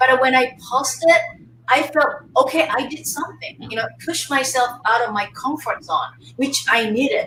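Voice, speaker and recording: A woman's raised, projected voice, high in pitch, with a Japanese accent and ordinary pitch variation. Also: moderate pace. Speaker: face yoga teacher. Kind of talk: casual chat. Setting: live webinar, video call.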